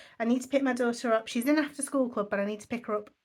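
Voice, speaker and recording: This recording is very clean and the background silent. In it, a woman talks in a fairly high pitch. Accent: English. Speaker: budgeting vlogger. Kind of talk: casual vlog chat. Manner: fast.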